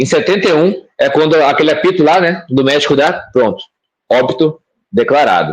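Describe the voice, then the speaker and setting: Talking rather quickly, a man uses a somewhat high register. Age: young. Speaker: bitcoin educator. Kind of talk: explanatory answer in live stream Q&A.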